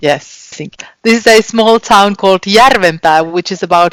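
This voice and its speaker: With a Finnish accent, a woman speaks at a moderate pace with ordinary pitch variation, in a dry, close sound with no echo. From Finland. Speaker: school teacher. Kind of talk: interview. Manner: halting.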